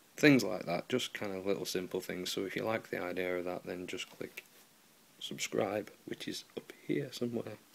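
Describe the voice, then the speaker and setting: A man with a British accent talks at a moderate pace in a very deep, low pitch with vocal fry. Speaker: guitar repair tutor. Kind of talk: tutorial. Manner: monotone; casual, hesitant with many ums.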